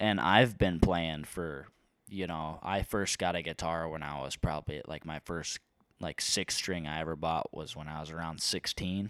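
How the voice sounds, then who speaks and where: This man speaks in a very deep, low pitch with a Midwestern American accent and fairly even intonation. His loudness swings widely, and the sound is dry and close with no echo. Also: moderate pace, very clean recording, silent background. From eastern Iowa. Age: 20s. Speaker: community college student and musician. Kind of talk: casual chat.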